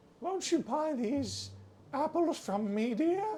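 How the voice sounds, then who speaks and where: A put-on character voice at a high pitch. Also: fairly slow pace. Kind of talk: coaxing, sweet.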